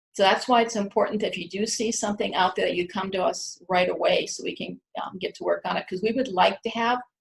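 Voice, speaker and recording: A woman with a fairly high pitch talks at a very fast pace with hardly any pauses, somewhat breathy, with ordinary pitch variation. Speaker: university research administrator. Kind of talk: conference presentation.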